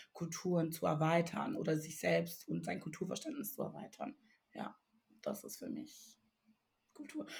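Speaking with a Ghanaian accent, a woman uses a fairly low pitch. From Togo. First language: Ewe (speaking German). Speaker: writer and artist. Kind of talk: casual chat.

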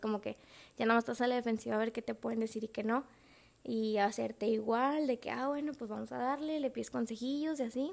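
Fairly high-pitched female speech, its intonation fairly even. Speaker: podcast host. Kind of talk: casual monologue. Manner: laughs often.

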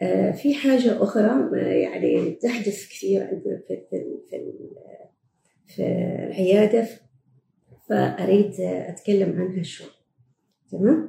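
A woman with an Omani accent at a very slow pace, with long, frequent pauses and big swings in loudness. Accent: Omani Gulf Arabic. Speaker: gynecologist and fertility doctor. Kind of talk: medical Q&A advice podcast. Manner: hesitant, with frequent fillers.

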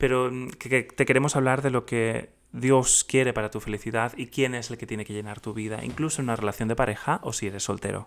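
Very fast speech with fairly even intonation, in a very clean recording against a silent background. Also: man, medium pitch for a man. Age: 30s. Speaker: podcast host. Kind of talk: casual chat; reading aloud.

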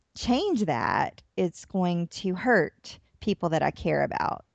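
A woman's plain, everyday voice in an American accent, at a fairly slow pace, in a dry, close sound with no echo over a quiet background. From US South, Atlanta, Georgia. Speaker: therapist and author. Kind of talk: interview.

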